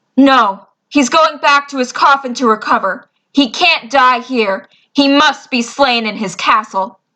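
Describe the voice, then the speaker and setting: A woman puts on a growling character voice set high in pitch. She speaks at a moderate pace against a quiet background. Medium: actual play. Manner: firm, knowing.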